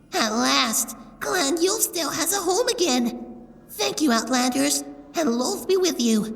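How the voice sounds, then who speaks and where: Over music in the background, a female-sounding voice puts on a high-pitched character voice. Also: moderate pace. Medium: audio drama.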